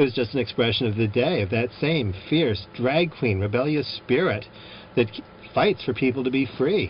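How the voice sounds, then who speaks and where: The speaker has an American accent and talks at a moderate pace. The intonation is lively. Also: man. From US Midwest, Chicago. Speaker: drag performer and activist. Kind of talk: casual chat.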